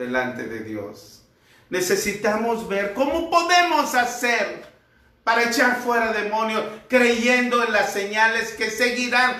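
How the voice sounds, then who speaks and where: Speaking very slowly in a raised, projected voice, a man with a high pitch is heard over noticeable background noise and audible room echo. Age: 60s. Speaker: pastor. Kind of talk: sermon.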